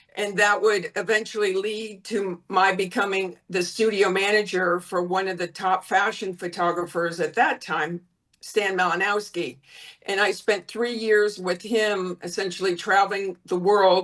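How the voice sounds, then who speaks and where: A woman with an American accent and a plain, everyday voice speaks at a fairly slow pace with fairly even intonation. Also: medium pitch for a woman. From US South, Florida. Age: 60s. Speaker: former model and modeling agent. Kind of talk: interview.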